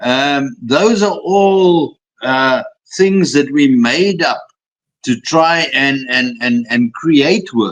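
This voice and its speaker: A man speaks at a very slow pace with lively intonation. His loudness stays very even. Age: 60s. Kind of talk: interview. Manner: repetitive stammering.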